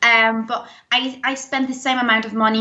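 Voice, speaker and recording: In a British accent, a woman with a fairly high pitch speaks at a fairly slow pace. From Denmark. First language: Danish. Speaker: zero waste YouTuber. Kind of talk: interview. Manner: talkative, long answers.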